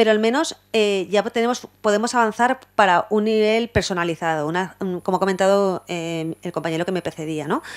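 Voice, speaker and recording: At a fairly quick pace, a woman speaks at a medium pitch with ordinary pitch variation. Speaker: university law lecturer. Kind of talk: conference talk. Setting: university lecture hall with audience. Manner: fast.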